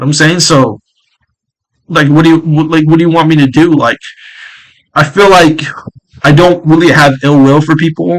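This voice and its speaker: A man's fairly high voice at a moderate pace, very even in loudness and fairly even in intonation. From New York. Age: 20s. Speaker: gaming streamer. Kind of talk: casual vlog monologue. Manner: halting.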